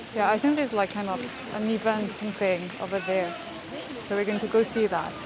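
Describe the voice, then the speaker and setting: Here a woman speaks at a medium pitch with ordinary pitch variation. Noticeable background noise can be heard. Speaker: travel vlogger. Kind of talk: travel vlog narration. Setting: outdoors. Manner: whispering.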